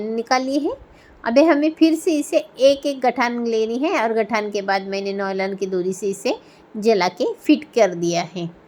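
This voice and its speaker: Lively intonation in a Marathi accent. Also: woman. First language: Marathi (speaking Hindi). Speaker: craft tutorial creator. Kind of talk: tutorial.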